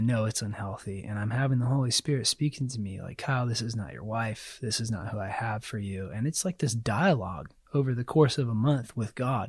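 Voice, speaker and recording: A man with an American accent talks at a fairly quick pace in a somewhat breathy, medium-pitched voice. His pitch variation is ordinary, and the recording is very clean with a silent background. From US South, South Carolina. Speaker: church member sharing faith story. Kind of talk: testimony.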